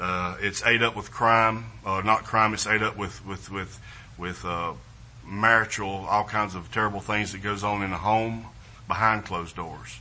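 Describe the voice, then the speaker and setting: Audible room echo surrounds a man with a Southern US accent, his fairly low voice held in fairly even intonation. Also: moderate pace. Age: 50s. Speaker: missionary. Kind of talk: missionary presentation in church. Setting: church service with congregation. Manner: halting, repetitive, with fillers.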